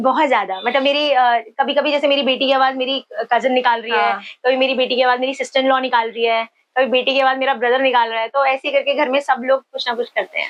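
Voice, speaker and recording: A woman's high voice in a Kumaoni accent, monotone and flat in intonation. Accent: Pahadi (Kumaoni). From Uttarakhand, India. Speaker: comedy content creator. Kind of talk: podcast interview answer.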